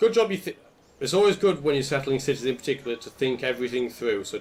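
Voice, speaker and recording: A man talks with a British accent. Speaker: gaming commentator. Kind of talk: let's play commentary. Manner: casual, conversational.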